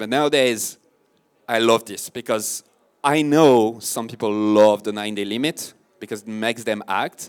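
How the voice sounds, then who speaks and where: Recorded very cleanly against a silent background, a man speaks at a medium pitch with ordinary pitch variation. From France. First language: French. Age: 30s. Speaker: marketing consultant and podcast host. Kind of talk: conference talk. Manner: casual, animated.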